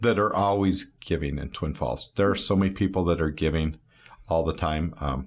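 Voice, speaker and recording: A man speaks in a very deep, low voice with vocal fry. His pace is moderate and his pitch varies in an ordinary way. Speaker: barbershop owner. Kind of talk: casual interview chat. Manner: loud.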